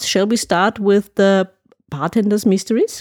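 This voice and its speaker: A woman with a German accent, in a dry, close sound with no echo. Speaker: podcast host. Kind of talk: interview.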